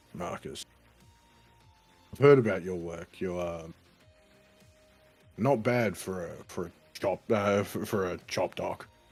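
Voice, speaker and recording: A man's raspy, put-on character voice, very deep and low, fairly slow with long, frequent pauses, with faint music in the background. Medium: actual play. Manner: blunt, laconic.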